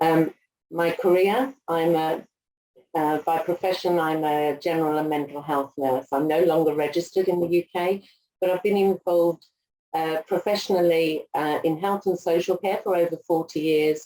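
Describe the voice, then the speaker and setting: Her voice is dark and mellow, fairly low for a woman, with fairly even intonation and very even loudness. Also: moderate pace. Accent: English. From England. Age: 60s. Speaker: aged care executive and nurse. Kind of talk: interview.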